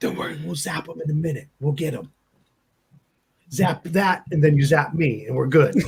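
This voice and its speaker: A man uses a raspy, put-on character voice at a fairly high pitch. He talks at a moderate pace with long, frequent pauses. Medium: actual play. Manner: friendly, quick.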